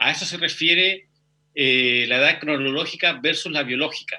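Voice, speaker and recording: A man's voice with a bright, sharp tone. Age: 40s. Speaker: physical education teacher. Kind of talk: interview.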